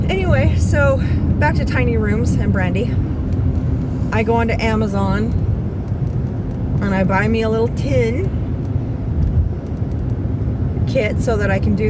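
The speech comes at a fairly slow pace with long, frequent pauses, dry with no echo but set against loud background noise. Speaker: driver vlogger. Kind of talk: casual vlog chat. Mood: chatty, amused. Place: car. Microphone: phone near.

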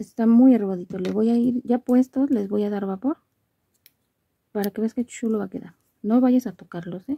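A woman speaks at a moderate pace in a fairly high pitch, her dark, mellow tone carrying vocal fry and a slightly husky edge. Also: ordinary pitch variation, dry, close sound with no echo.

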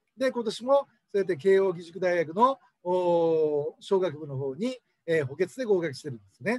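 The voice moves at a moderate pace with big swings in loudness, and the sound is dry with no echo. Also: man, high pitch for a man, lively intonation, quiet background. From Hokkaido, then Fukuoka. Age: 50s. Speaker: cram school owner and tutor. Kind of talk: monologue, educational talk to camera. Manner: conversational, rambling, explanatory. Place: office. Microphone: webcam.

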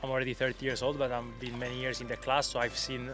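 Clear music playing behind a dry sound with no echo. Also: man. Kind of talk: interview answer. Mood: calm, reflective. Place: waterside. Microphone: handheld.

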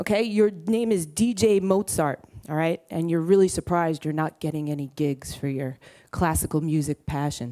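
A woman with a Brooklyn accent, fairly low pitch and a dark, mellow tone, at a moderate pace with ordinary pitch variation over a quiet background. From Brooklyn, New York. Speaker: entrepreneur. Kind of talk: conference talk. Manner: blunt, casual, profane. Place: stage. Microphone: headset.

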